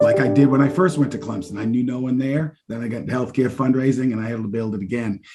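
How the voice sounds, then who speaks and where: A man's dark, mellow tone with a slight Massachusetts accent. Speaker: university fundraising executive. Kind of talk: podcast interview.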